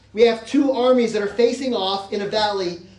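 Noticeable background noise sits under a fairly quick delivery in an American accent. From Texas. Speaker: pastor. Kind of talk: sermon.

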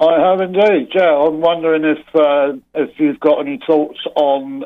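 Speaking in an English accent, a man holds a moderate pace. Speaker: caller, business owner. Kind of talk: call-in question. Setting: phone call. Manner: halting.

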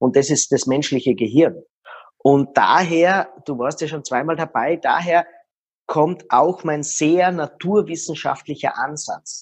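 The talking is very slow, and its pitch varies in an ordinary way. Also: man, fairly high pitch for a man. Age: 40s. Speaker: body language expert. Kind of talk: interview.

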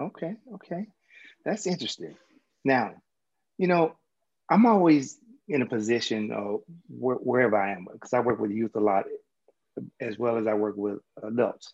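With a Southern US accent, a man speaks at a moderate pace and medium pitch, his intonation lively and his pauses long and frequent. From US South. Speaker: mindset coach and podcast host. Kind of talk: interview.

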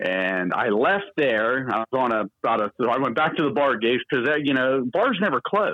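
In a plain, everyday voice, the speaker moves at a moderate pace with lively intonation and hardly any pauses. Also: man, medium pitch for a man. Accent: American. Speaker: morning radio DJ. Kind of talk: casual chat interview.

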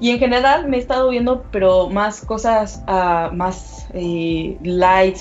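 A woman talks at a medium pitch with ordinary pitch variation. Noticeable background noise can be heard. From Mexico. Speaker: sales manager. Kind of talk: remote interview.

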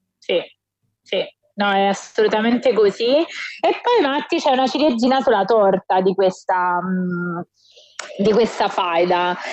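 Lively intonation carries this voice at a fairly slow pace, with long, frequent pauses. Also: woman, fairly high pitch for a woman. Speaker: wrestling podcast co-host. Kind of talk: casual chat. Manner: animated. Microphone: recording on phone, may sound distant.

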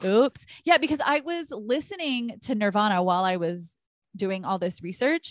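Loud and animated, a woman with an American accent speaks at a moderate pace with very wide pitch swings, in a dry, close sound with no echo. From Texas. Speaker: podcast co-host, astrology. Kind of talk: casual chat. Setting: recording over internet in separate rooms of a house. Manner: animated, loud.

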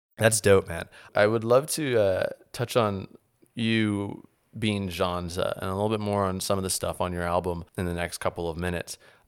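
A man with an American accent speaks in a normal speaking voice at a fairly low pitch and a moderate pace. His intonation stays fairly even on a very clean recording with a silent background. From New Orleans, US South. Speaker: podcast host. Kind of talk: casual interview conversation.

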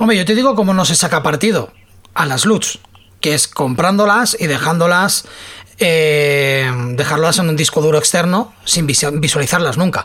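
The speaker has lively intonation and very even loudness at a moderate pace, with noticeable background noise. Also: woman, fairly low pitch for a woman. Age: 40s. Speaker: podcast host. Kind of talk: casual chat.

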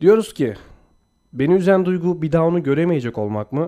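A man speaks at a fairly quick pace with very wide pitch swings against a quiet background. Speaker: podcast co-host. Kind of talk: reading aloud; casual chat.

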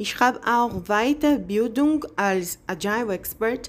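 Speaking at a very slow pace with lively intonation, a woman talks in a Brazilian accent. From Brazil, Bahia. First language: Portuguese (speaking German). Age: 30s. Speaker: job applicant. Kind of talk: video CV presentation.

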